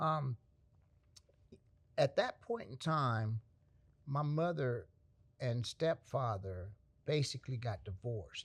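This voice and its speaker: A man speaks at a very slow pace, leaving long, frequent pauses, in a medium pitch with ordinary pitch variation. His voice is somewhat breathy, and the sound is dry and close with no echo. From Panama, raised in Dallas, Texas. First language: Spanish. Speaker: artist. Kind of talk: interview answer.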